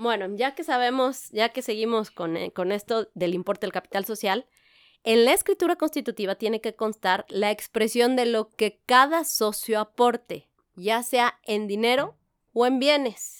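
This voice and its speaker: A woman's fairly high-pitched voice, an ordinary speaking voice, at a fairly slow pace with ordinary pitch variation, dry and close with no echo, on a very clean recording with a silent background. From Mexico, San Luis Potosí. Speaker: corporate lawyer. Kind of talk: podcast interview.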